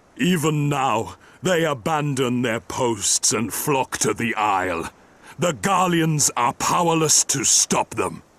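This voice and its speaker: At a fairly slow pace, a man puts on a character voice with a fairly high pitch. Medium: video game.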